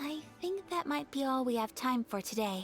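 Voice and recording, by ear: A woman's put-on character voice, high-pitched with lively intonation, at a slow pace over faint background music.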